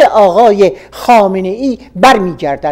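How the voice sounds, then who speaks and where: Very slowly, a woman speaks, her intonation lively throughout. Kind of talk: radio reading of a political opinion article.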